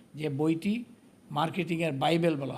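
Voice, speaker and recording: A somewhat breathy man's voice, fairly high in pitch, with audible room echo. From Netrokona, Bangladesh. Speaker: politician and marketing executive. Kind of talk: interview.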